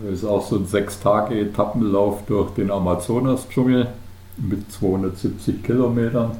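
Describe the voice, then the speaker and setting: Fairly slow, fairly even speech from a man, with audible room echo and noticeable background noise. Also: fairly low pitch for a man. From Bavarian Swabia, Germany (Unterallgäu near Kaufbeuren). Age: 50s. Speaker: ultrarunner, retiree. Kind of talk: podcast interview.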